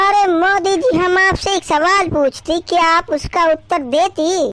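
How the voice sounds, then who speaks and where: Using a cartoonish character voice, a woman speaks at an extremely high pitch, at a fairly slow pace, with fairly even intonation. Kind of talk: cartoon comedy. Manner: haggling, comic broken grammar.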